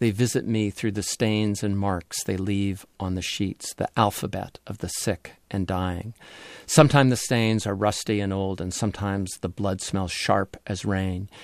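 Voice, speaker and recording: Delivered at a moderate pace, a man's unremarkable speaking voice sits at fairly low pitch with fairly even intonation, in a dry, close sound with no echo. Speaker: radio host. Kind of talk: radio interview. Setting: studio.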